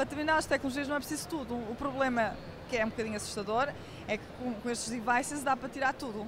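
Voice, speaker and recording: Over crowd noise in the background, a woman talks at a very fast pace in a high pitch with fairly even intonation. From Portugal. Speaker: tech company CEO. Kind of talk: interview.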